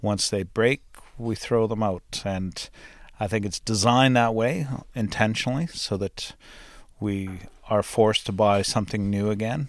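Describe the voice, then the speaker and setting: The recording is very clean, its background silent. An unremarkable speaking voice talks at a moderate pace, with pitch varying in an ordinary way. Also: man, fairly low pitch for a man. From Canada, northwestern Ontario farm. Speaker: farmer, host's husband. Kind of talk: casual interview. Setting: home recording studio.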